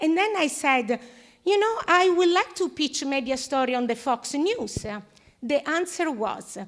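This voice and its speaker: A woman with an Italian accent speaks at a fairly slow pace, her intonation lively. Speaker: audience member, TV show host. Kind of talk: audience question at panel. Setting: live panel event with audience. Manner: halting.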